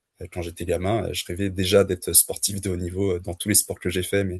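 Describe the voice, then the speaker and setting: A man speaks in a somewhat breathy, fairly low voice, recorded with a dry, close sound and no echo. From France (Le Mans). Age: 30s. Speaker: trail runner. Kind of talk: podcast interview. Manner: hesitant, many fillers.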